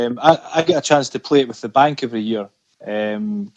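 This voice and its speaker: With a Scottish accent, a man talks at a moderate pace in a dry, close recording with no echo. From Scotland. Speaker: amateur golfer. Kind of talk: podcast interview answer.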